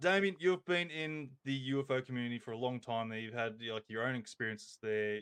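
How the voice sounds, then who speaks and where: With an Australian accent, a man talks at a fairly quick pace and medium pitch, his intonation lively and his speech with hardly any pauses. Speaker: podcast host. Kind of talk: casual chat. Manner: halting, many fillers.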